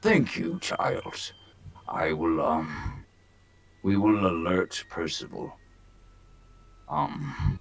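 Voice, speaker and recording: Putting on a character voice, a man speaks with a very deep, low pitch and fairly even intonation. He goes at a very slow pace, with long, frequent pauses. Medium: actual play. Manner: hesitant, halting.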